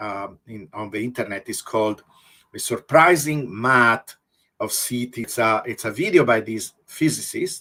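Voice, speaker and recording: With an Italian accent, a man of medium pitch speaks at a fairly slow pace in a bright, sharp tone, showing ordinary pitch variation and big swings in loudness on a very clean recording with a silent background. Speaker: researcher. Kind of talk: interview.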